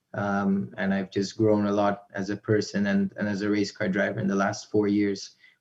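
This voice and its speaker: At a moderate pace, a man speaks with a fairly low pitch and a dark, mellow tone. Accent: American. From Miami, Florida then North Carolina, US. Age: young. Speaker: racing driver. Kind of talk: live interview. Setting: video call. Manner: halting.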